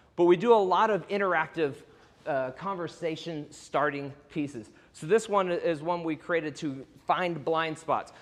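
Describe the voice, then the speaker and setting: This man speaks with an American accent, a high pitch and ordinary pitch variation. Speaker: workshop presenter, real estate coach. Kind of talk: presentation to an audience. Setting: event talk to audience. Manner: fast; high energy.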